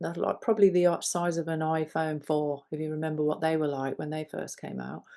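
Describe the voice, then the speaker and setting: A woman speaks with an English accent in a dark, mellow tone. The background is quiet. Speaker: podcast co-host. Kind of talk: casual chat.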